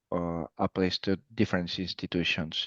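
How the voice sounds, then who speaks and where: A man with a Spanish accent, dry and close with no echo, over a quiet background. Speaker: emergency medical physician. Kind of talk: interview. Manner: halting.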